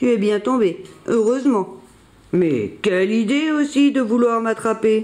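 An unforced voice carries the reading here.

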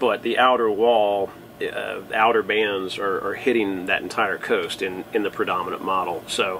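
A man speaks at a fairly slow pace against light background noise. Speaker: sailing vlogger. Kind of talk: casual vlog chat. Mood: calm, explanatory. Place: boat. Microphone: camera far.

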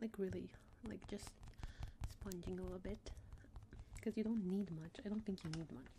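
A soft-spoken woman talks at a moderate pace. Light background noise is present. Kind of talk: ASMR roleplay chat. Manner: soft close ASMR voice. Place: home room.

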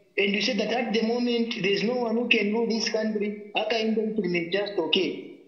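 A man's voice carries an audible room echo. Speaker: caller. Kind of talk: political commentary talk show. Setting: phone call. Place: home room.

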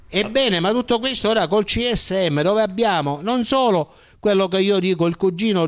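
A man at a moderate pace, quiet background behind him. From Sicily, Partinico; Sicily. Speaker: journalist; interviewee, journalist. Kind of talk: interview. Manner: halting, with frequent repetitions and fillers. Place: home room. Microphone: handheld.

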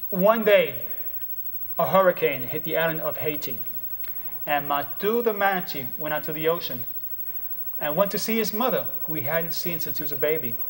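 A high-pitched man at a moderate pace, with lively intonation and long, frequent pauses. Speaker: storyteller and motivational speaker. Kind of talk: storytelling, folk tale told to an audience. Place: studio.

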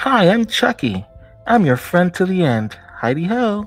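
Faint music plays in the background as a man in a put-on character voice speaks at a moderate pace with a high pitch and very wide pitch swings. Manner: gleeful, menacing.

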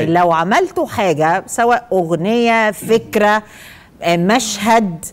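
Speaking at a very slow pace, a woman keeps her voice at a medium pitch. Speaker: TV talk show host. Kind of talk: hosting a game on a TV show. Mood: playful, animated. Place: studio. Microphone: lapel.

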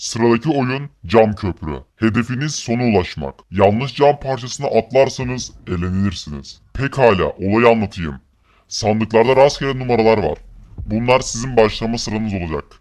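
A put-on character voice from a man, medium in pitch, at a moderate pace. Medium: machinima. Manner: formal, detached.

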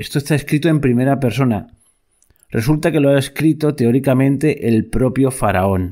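The clip has a very clean recording and a silent background. Heard in it is a normal speaking voice, moving at a moderate pace. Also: man. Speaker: podcast host. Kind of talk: history podcast narration, epic poem reading. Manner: solemn, declamatory; rhythmic, stately, ironic.

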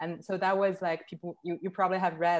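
The voice belongs to a woman. She speaks with a Chinese accent. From Northeast China. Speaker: curator; presenter. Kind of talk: online panel talk. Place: home room. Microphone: video call.

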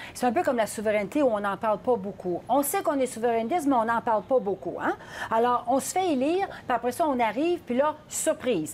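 In a Quebec accent, a woman speaks fairly quickly at a high pitch with very wide pitch swings over light background noise. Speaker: political commentator. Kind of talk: panel discussion. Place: studio. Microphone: lapel.

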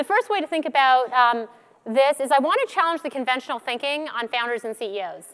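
In a quiet background, a woman speaks at a high pitch and a fairly quick pace. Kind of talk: conference keynote talk. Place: stage. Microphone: headset.

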